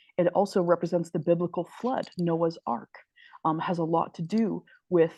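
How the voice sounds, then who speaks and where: This is a woman with a fairly low pitch. She has a normal speaking voice. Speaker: spiritual teacher. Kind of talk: lecture.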